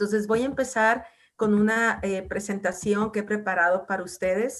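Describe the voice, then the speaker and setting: At a moderate pace, a woman with a medium pitch and an ordinary speaking voice talks in fairly even intonation. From northwestern Mexico (Mazatlán, Sinaloa). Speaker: university researcher and program coordinator. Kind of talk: lecture. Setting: video call.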